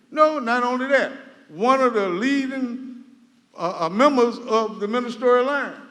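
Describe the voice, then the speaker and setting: With a Southern US accent, a man with an extremely high-pitched voice speaks at a moderate pace with ordinary pitch variation, and audible room echo surrounds him. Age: 60s. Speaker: resident speaking at public meeting. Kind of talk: public comment at town hall. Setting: community center meeting hall. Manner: animated.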